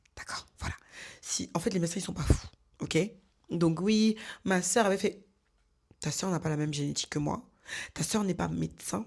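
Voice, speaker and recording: A woman's fairly low, animated voice with vocal fry, at a moderate pace with long, frequent pauses, on a very clean recording with a silent background. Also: ordinary pitch variation, big swings in loudness. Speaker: lifestyle vlogger. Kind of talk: casual vlog monologue.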